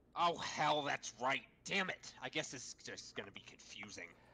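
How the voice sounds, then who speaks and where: This is a put-on character voice in a low-to-middle pitch. It moves along at a moderate pace. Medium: game stream. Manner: abrasive, ranting, profane.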